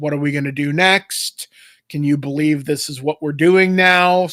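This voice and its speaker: A gruff, put-on character voice speaks at a moderate pace. The sound is dry and close, with no echo. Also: man, fairly high pitch for a man. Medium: actual play. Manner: flat, casual chatter.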